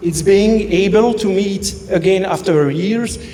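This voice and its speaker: Speaking at a very slow pace, a man with a French accent has a high pitch and fairly even intonation. Noticeable background noise and audible room echo fill the recording. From Belgium. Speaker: best man. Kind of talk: wedding speech. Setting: wedding reception. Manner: halting.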